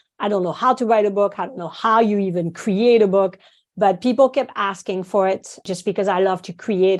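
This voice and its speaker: A woman speaks at a medium pitch with a French accent against a quiet background. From France, small village. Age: 50s. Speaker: acupuncturist and teacher. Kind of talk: podcast interview. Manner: animated.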